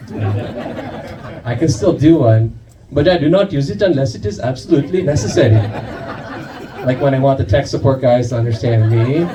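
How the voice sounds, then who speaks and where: Over noticeable background noise and audible room echo, a man talks at a moderate pace. His medium-pitched voice has lively intonation. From US, raised by Indian parents. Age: middle-aged. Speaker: comedian. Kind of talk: stand-up. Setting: stage with audience.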